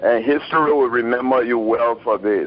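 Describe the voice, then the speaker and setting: The voice has ordinary pitch variation. Noticeable background noise is present. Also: man. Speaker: caller. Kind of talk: call-in comment. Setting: phone call. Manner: slow.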